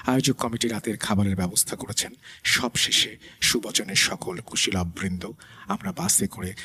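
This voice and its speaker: A man's fairly low voice with ordinary pitch variation over noticeable background noise. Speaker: radio host. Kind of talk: horror story narration.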